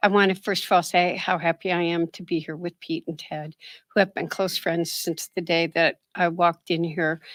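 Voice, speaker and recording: A woman's raspy, put-on character voice, fairly low in pitch, monotone and flat, at a moderate pace, in a very clean recording with a silent background. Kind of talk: formal.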